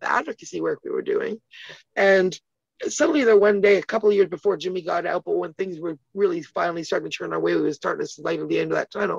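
A woman speaks at a very fast pace. The sound is dry with no echo, and the background is quiet. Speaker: interview guest. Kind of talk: interview answer. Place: home room. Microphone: phone near.

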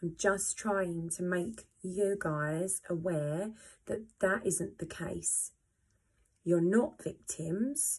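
A woman speaks at a very slow pace. Her voice is somewhat breathy, with ordinary pitch variation. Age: 30s. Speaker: pole dancer and vlogger sharing scoliosis experience; vlogger sharing scoliosis experience. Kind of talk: personal testimony to camera. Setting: home video, first vlog. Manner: hesitant, many fillers. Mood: earnest, encouraging. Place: home room. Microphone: phone near.

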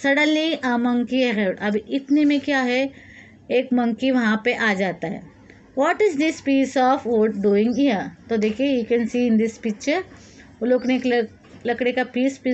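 A woman with a high voice and ordinary pitch variation speaks at a fairly slow pace, leaving long, frequent pauses. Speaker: teacher. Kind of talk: lesson explanation. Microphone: phone near.

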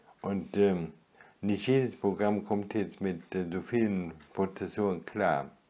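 Speaking at a very slow pace, a man has a fairly low pitch and a dark, mellow tone. His intonation stays fairly even. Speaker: retired video blogger. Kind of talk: solo vlog monologue. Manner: halting. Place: home room.

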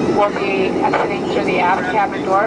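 Moderate-paced speech over loud background noise. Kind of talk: in-flight announcement. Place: plane.

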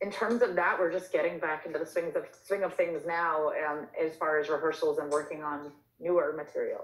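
Fairly low in pitch, a woman with an American accent speaks in a plain, everyday voice at a fairly quick pace, with fairly even intonation. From Long Island, New York. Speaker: singer-songwriter. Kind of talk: casual interview.

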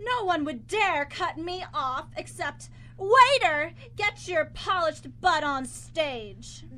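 Putting on a character voice, a woman uses an extremely high pitch, a bright, sharp tone and lively intonation at a slow pace.

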